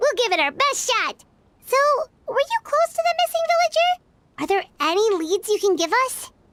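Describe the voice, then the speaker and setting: The put-on character voice is squeaky and extremely high in pitch, moving at a moderate pace. Long pauses come often. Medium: read story. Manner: bright, friendly.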